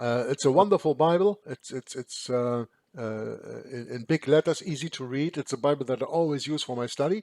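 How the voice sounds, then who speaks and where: Recorded with a dry, close sound and no echo, a man speaks at a fairly quick pace and a fairly high pitch with ordinary pitch variation. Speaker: Bible study channel host. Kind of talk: scripture study reading and discussion. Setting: video call. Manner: halting, repeats words.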